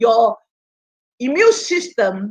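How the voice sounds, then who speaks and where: The voice is somewhat breathy and moves at a very slow pace. The sound is dry and close, with no echo. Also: woman. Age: 60s. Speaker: health product speaker. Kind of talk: interactive online seminar, Q&A. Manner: halting.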